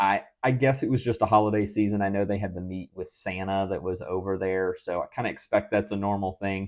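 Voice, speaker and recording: At a fairly quick pace with hardly any pauses, a man talks at a fairly low pitch with fairly even intonation over a quiet background. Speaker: Disney fan livestream host. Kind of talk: casual livestream news commentary. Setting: livestream on camera. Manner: fast; hesitant, many fillers.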